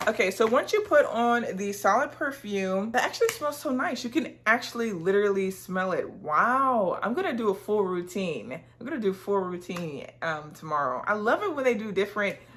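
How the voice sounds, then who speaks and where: With hardly any pauses, the speaker moves at a moderate pace through very wide pitch swings over noticeable background noise. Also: woman. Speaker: fragrance reviewer. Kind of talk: product review haul. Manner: animated; casual, with filler words.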